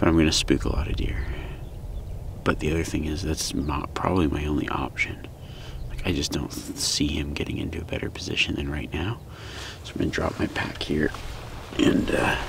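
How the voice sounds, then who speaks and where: Whispering, a man talks at a fairly quick pace. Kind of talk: casual hunting vlog commentary. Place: open country. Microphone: phone near.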